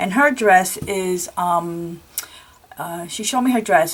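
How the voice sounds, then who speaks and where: A woman is talking. Noticeable noise sits in the background. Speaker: crafting video creator. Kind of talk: show-and-tell tutorial. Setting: home craft room. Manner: halting with many fillers.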